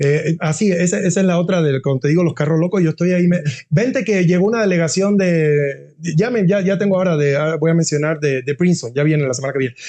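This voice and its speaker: Here a man speaks at a very fast pace in a high pitch. His loudness stays very even, with ordinary pitch variation. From Cuba. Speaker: university dean. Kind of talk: interview. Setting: podcast. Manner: halting, many repetitions; animated.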